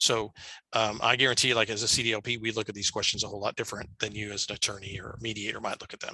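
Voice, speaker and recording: A man speaks very fast in a fairly low, flat, monotone voice with big swings in loudness. The sound is dry and close with no echo. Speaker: mortgage loan officer presenting a training. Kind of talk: online training presentation. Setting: video call. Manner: halting, many fillers.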